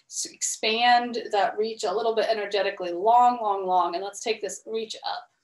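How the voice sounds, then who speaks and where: A woman at a moderate pace with hardly any pauses and ordinary pitch variation, audible room echo and a quiet background. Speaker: exercise instructor. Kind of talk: class instruction. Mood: calm, encouraging. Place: home room. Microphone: video call.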